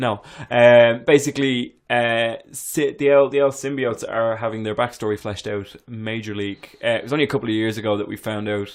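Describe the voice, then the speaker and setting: Speaking with a normal speaking voice at a fairly quick pace, a man keeps a medium pitch and fairly even intonation with hardly any pauses. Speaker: podcast co-host. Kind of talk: casual chat. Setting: small room recording.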